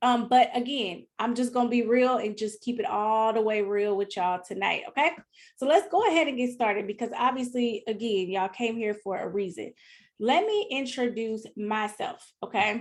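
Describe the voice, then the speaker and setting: The speaker uses a Southern US accent, moving at a moderate pace with ordinary pitch variation. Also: woman, fairly high pitch for a woman. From US South, Mississippi (partly California). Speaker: business coach. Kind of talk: live online workshop. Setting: live video stream. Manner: animated, passionate.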